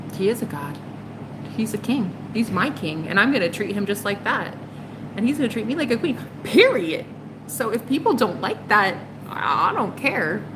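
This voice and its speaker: The pitch swings very widely at a moderate pace, broken by long, frequent pauses, over noticeable background noise. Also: woman, fairly high pitch for a woman. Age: 30s. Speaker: tarot reader. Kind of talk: live stream chat with viewers. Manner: animated.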